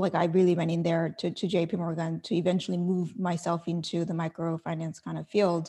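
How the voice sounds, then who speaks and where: Fairly low in pitch, a woman's dark, mellow tone moves at a fairly quick pace with hardly any pauses. The recording is very clean, the background silent. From South Korea. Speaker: tech startup founder. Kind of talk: interview.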